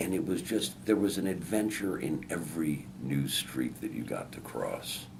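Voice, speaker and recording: A man with an American accent talks at a moderate pace with hardly any pauses, his very deep, low voice swinging very widely in pitch amid audible room echo. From Chicago, US Midwest. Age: 60s. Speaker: newspaper columnist and radio host. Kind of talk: interview.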